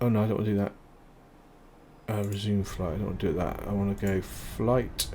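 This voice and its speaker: A quiet man's voice, fairly low in pitch, with audible room echo. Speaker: gaming YouTuber. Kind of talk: gameplay commentary. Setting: home recording at night. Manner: casual, hesitant with fillers; quiet, low-volume talk.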